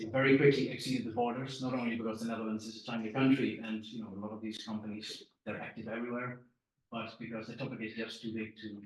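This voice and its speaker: Very fast speech with fairly even intonation and audible room echo. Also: man. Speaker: packaging technologist presenting. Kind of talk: conference presentation. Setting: press conference room with online audience.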